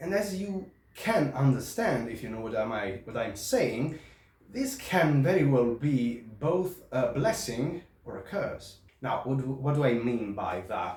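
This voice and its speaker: A man with an Italian accent talks at a medium pitch and a fairly slow pace, his pitch swinging very widely. Noticeable background noise and audible room echo surround him. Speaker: historical fencing instructor. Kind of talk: product review. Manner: halting.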